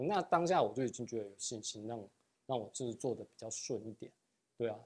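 Male voice with lively intonation and a dark, mellow tone. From Taiwan. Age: young. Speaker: real estate agent; interview guest. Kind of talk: interview. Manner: hesitant, many fillers. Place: studio. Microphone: lapel.

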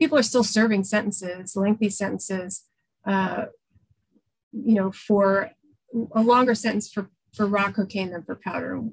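A woman's somewhat breathy voice with an American accent, fairly even intonation and a quiet background. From New York City. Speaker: public defender; guest, defense attorney. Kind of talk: presentation. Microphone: video call.

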